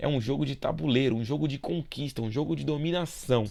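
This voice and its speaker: In a very clean recording with a silent background, a man with a fairly high pitch talks at a very fast pace. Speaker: school geography teacher. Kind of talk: recorded video lesson. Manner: casual, informal.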